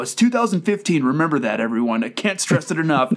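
Speaking with an American accent, a man uses a fairly high pitch that swings very widely. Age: 30s. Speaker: podcaster. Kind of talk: casual chat. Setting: video call. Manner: animated.

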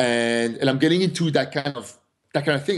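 Against a quiet background, the speech moves at a very fast pace. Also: man. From France. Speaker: fitness entrepreneur. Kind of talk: casual interview.

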